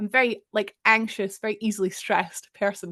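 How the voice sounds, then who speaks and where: A woman's fairly high voice with a Scottish accent. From Scotland. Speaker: streamer. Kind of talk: casual chat.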